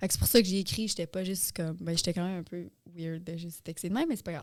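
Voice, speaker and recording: Very fast speech with big swings in loudness and fairly even intonation. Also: woman, fairly low pitch for a woman. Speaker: podcast host. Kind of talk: casual chat.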